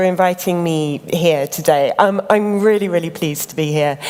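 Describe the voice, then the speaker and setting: A woman talks fairly slowly with ordinary pitch variation, and noticeable background noise is present. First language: English (speaking Italian). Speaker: creative director of a craft organisation. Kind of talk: lecture.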